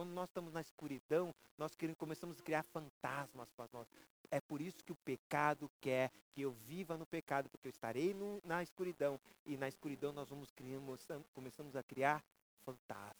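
Speaking at a moderate pace in a plain, everyday voice, a man has a fairly high pitch with ordinary variation and a dry, close sound with no echo. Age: 50s. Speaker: pastor. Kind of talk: sermon.

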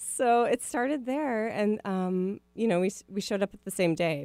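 Dark and mellow in tone, a woman's voice at medium pitch carries lively intonation and a Midwestern US accent. The sound is dry and close, with no echo. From Minneapolis, US Midwest. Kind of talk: radio interview.

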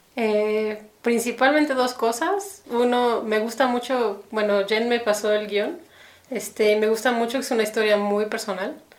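A woman's fairly high voice with fairly even intonation, at a fairly slow pace, amid noticeable background noise and audible room echo. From Mexico City. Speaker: animator. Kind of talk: casual interview.

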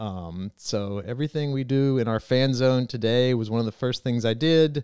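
With an American accent and an unremarkable speaking voice, a man talks at a moderate pace and medium pitch with ordinary pitch variation, the sound dry and close with no echo on a very clean recording with a silent background. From eastern North Carolina. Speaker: racetrack president. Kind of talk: casual interview.

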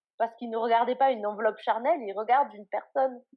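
A woman has a normal speaking voice at a fairly high pitch. She uses ordinary pitch variation. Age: 20s. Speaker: blogger on eating disorders. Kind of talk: interview testimony.

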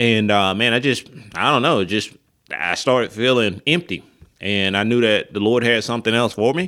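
A man talks in an Alabama accent with a bright, sharp tone. The recording is very clean, with a silent background. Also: medium pitch for a man, ordinary pitch variation, moderate pace. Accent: Southern US (Alabama). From US South, West Alabama (Linden). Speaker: pastor. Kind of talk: casual chat.

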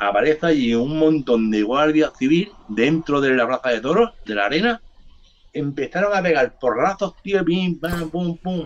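An animated tone at a moderate pace. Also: man. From Barcelona, Spain (born in Andalusia). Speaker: hip hop artist. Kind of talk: casual interview chat.

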